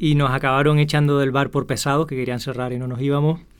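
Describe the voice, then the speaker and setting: At a fairly quick pace, a man talks with a normal speaking voice and a fairly high pitch. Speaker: podcast host. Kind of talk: casual storytelling monologue.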